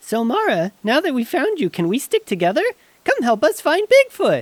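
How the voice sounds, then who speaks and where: Put on as a character voice, this high-pitched, cheerful delivery moves at a moderate pace with very wide pitch swings. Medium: audio drama. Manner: cheerful, naive.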